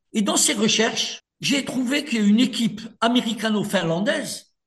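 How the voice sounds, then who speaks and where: A man at a high pitch with a North African accent, speaking at a very slow pace. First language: Berber (speaking French). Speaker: author and lawyer. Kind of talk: radio interview.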